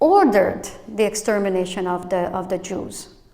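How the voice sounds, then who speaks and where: The voice moves at a fairly slow pace with ordinary pitch variation, amid noticeable background noise and audible room echo. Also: woman. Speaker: pastor. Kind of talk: sermon. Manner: halting.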